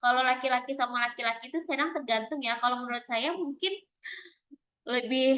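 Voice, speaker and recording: Her tone bright and sharp, a woman speaks at a fairly quick pace with a high pitch and fairly even intonation. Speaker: lecturer. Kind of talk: lecture.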